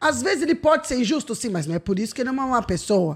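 A woman with a high pitch and very wide pitch swings. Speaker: comedian and judge. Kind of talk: casual chat.

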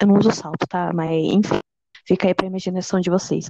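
A woman with a normal speaking voice talks at a fairly quick pace, at medium pitch with fairly even intonation. The sound is dry and close, with no echo. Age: 20s. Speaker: history student, podcast co-host. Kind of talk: casual chat.

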